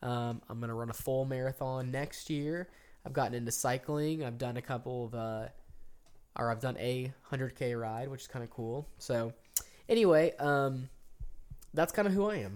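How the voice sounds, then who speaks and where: A man speaks at a moderate pace and medium pitch with ordinary pitch variation and long, frequent pauses, on a very clean recording with a silent background. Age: 30s. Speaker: podcast co-host. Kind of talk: casual chat. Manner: hesitant, many fillers.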